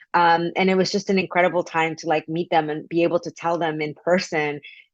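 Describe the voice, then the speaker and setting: A woman speaks in a monotone, flat intonation. The sound is dry and close with no echo, against a quiet background. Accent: Spanish. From Mexico. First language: Spanish. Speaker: author. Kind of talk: interview. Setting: video call.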